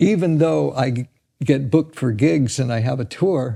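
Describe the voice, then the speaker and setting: Somewhat breathy and dark, mellow in tone, a man speaks at a medium pitch with lively intonation. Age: 70s. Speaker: drummer. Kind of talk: casual chat. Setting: studio. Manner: halting.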